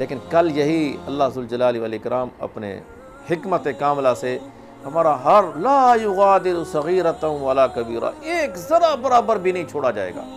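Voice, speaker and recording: This man's voice is fairly high and moves through very wide pitch swings. Noticeable background noise runs underneath. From Pakistan. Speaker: Islamic preacher. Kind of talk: religious sermon (bayan).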